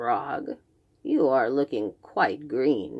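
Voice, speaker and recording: A woman puts on a character voice. It is growling and very deep in pitch. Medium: read story. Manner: slow, drowsy.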